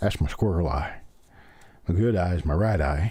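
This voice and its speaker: A man's very deep, low voice with a dark, mellow tone, vocal fry and a Southern US accent. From US South, Memphis Tennessee. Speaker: coin collector live streamer. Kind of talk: live stream hobby commentary. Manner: fast; folksy, chatty.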